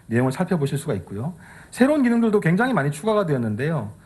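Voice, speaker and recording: A man speaks in a somewhat breathy voice with very wide pitch swings. The background is quiet. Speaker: tech evangelist. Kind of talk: keynote presentation. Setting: stage with audience. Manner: fast.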